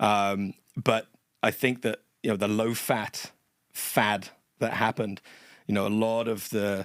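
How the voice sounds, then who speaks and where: A man with a fairly low pitch speaks in a flat, monotone way, recorded dry and close with no echo. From England. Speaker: personal trainer. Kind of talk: podcast interview.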